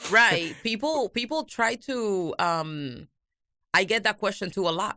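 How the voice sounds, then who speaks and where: With a Spanish accent, a woman speaks at a fairly slow pace in a bright, sharp tone with lively intonation, on a very clean recording with a silent background. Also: medium pitch for a woman. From Cuba. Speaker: YouTube talk show host, guest. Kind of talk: casual interview chat. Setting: radio studio.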